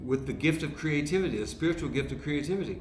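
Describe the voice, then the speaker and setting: Room echo is audible around this man's voice. He is fairly high-pitched, with ordinary pitch variation. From US Midwest (Dayton, Ohio). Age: 60s. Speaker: comedian. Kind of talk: casual chat.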